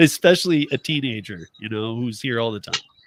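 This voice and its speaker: A man with an unremarkable speaking voice talks at medium pitch and a moderate pace, his intonation lively. The sound is dry and close, without echo. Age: 50s. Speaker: live-stream radio show host. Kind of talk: casual chat.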